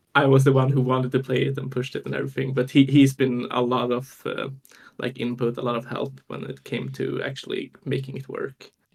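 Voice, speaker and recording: A man's medium-pitched voice with vocal fry, fairly quick and in a monotone, flat intonation. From Sweden. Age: 20s. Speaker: deck inventor, card game player. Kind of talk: podcast interview. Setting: live stream.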